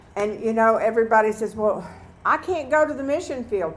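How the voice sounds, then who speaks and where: Over noticeable background noise, a woman with lively intonation talks at a moderate pace. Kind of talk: prayer. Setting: stage with audience.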